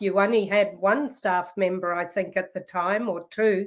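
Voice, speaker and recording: In a New Zealand accent, a woman at medium pitch speaks fairly slowly with fairly even intonation, the recording very clean with a silent background. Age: 60s. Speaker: professor. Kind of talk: interview.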